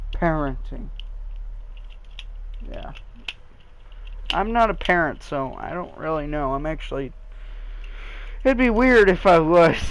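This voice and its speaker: A man with a high pitch and lively intonation, big swings in loudness, a fairly slow pace, long, frequent pauses and audible room echo. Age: young. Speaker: gaming youtuber. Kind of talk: gameplay commentary. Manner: halting; casual.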